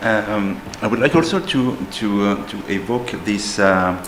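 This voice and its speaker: A man speaks with a French accent in a fairly low pitch. Audible room echo and noticeable background noise fill the recording. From France. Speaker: school teacher on a panel. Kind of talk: panel discussion. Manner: hesitant, many fillers.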